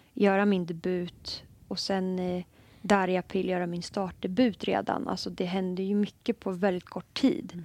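A woman in a normal speaking voice at medium pitch and moderate pace, with fairly even intonation, on a very clean recording with a silent background. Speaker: football player. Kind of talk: casual chat.

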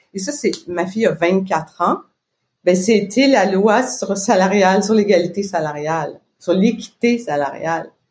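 A somewhat breathy woman's voice at a medium pitch, fairly slow, with ordinary pitch variation. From Quebec. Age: 50s. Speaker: business owner. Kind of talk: casual interview.

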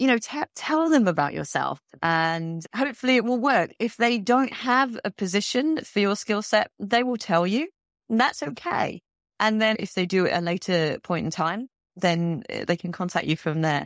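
A woman speaks with a London accent, her pitch swinging very widely. The sound is dry and close, with no echo. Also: medium pitch for a woman, moderate pace. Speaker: heritage consultant. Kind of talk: interview. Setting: remote call.

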